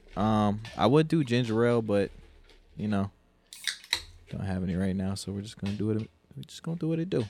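Over noticeable background noise, a man speaks at a fairly low pitch with lively intonation. He talks at a fairly quick pace but takes long, frequent pauses. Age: 30s. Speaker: podcast co-host. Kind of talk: casual chat.

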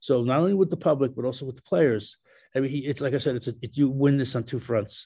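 At a very fast pace, a man with a dark, mellow, somewhat breathy tone speaks with ordinary pitch variation. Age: 70s. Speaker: baseball analyst. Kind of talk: casual chat. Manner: halting.

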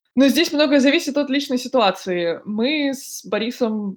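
Lively intonation runs through a woman's plain, everyday voice. She speaks at a fairly slow pace. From Russia, Moscow. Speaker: podcast host. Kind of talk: casual chat.

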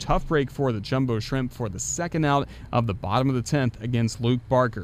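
An animated tone at a fairly quick pace, with noticeable background noise. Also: man. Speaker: baseball radio broadcaster. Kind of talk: live sports commentary, play-by-play. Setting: press box at the ballpark. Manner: animated, fast-paced call of the action.

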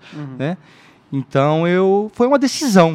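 This man's voice is pitched high. It rises and falls across a very wide range. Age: 30s. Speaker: church member sharing love story. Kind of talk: testimony.

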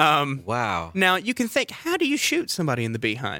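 An animated man with an American accent speaks in a high pitch, with a bright, sharp tone and very wide pitch swings. The recording is very clean, with a silent background. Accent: slight Southern US, mostly suppressed. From Valdosta, Georgia. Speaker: tour guide, radio show guest. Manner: animated, comedic storyteller.

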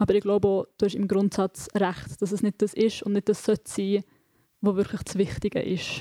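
At a moderate pace, a woman speaks in a dark, mellow tone with fairly even intonation. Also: medium pitch for a woman, dry, close sound with no echo. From Switzerland, rural. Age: 20s. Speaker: author and literature student. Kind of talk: panel discussion.

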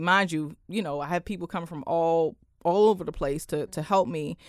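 In a very clean recording with a silent background, a woman with a D.C. accent talks at a moderate pace with ordinary pitch variation. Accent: DC urban American, slightly proper. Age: 20s. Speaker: entrepreneur, accountant and talk show host. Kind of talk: casual radio interview. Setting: radio studio. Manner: casual, switches between proper and street.

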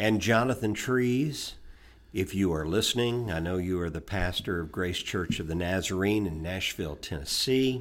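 A plain, everyday voice, this man's is fairly low in pitch, with ordinary pitch variation and a moderate pace. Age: 60s. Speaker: podcast co-host. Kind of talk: casual chat.

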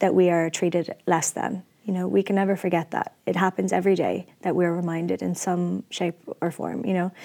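With an Irish accent, a woman talks fairly quickly in a fairly low-pitched, dark, mellow tone and fairly even intonation. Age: 30s. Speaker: activist and actor. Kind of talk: interview.

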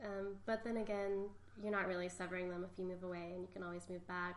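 Monotone, flat intonation amid audible room echo and noticeable background noise. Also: woman. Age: 30s. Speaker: painter. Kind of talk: interview.

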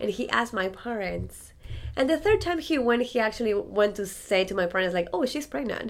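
A woman with a Spanish accent speaks at a moderate pace and fairly high pitch, with very wide pitch swings. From Ecuador, Andes. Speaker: violinist. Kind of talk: interview.

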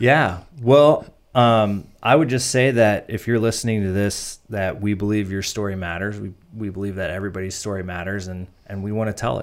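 On a very clean recording with a silent background, a man speaks with ordinary pitch variation and big swings in loudness. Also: fairly low pitch for a man, moderate pace. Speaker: photo and video business owner. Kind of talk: casual interview. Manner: calm, relaxed.

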